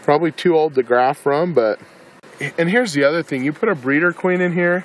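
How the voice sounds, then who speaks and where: A man talks at a fairly quick pace with ordinary pitch variation. The sound is dry, with no echo. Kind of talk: tutorial. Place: garden. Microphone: phone near.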